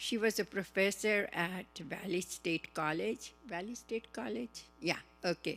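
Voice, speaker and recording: A woman with a non-native accent at a fairly slow pace, music in the background. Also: medium pitch for a woman, ordinary pitch variation. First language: not English. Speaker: seminar attendee, businesswoman. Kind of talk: personal testimony. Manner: halting.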